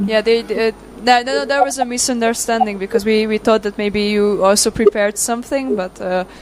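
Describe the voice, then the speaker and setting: With a Hungarian accent, a woman talks at a fairly quick pace and a fairly high pitch, her intonation fairly even against noticeable background noise. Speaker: event discussion moderator. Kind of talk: casual chat. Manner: halting.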